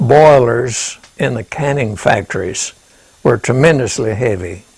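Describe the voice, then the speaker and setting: The speaker uses lively intonation over noticeable background noise. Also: man. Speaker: war veteran. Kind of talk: interview answer.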